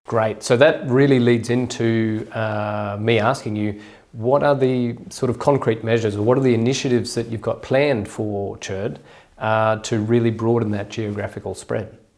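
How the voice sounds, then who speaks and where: A man with an Australian accent, fairly even intonation and a moderate pace. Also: medium pitch for a man. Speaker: journal editor, academic interviewer. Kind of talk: interview.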